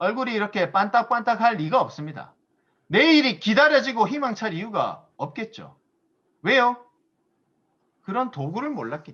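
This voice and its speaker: High male voice at a moderate pace, with lively intonation, big swings in loudness, and long, frequent pauses. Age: 30s. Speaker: business seminar speaker. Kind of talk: motivational lecture.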